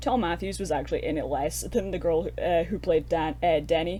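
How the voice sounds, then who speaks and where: With music in the background, a woman speaks in a Scottish accent. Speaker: horror film podcast co-host. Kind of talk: casual film review chat. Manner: animated.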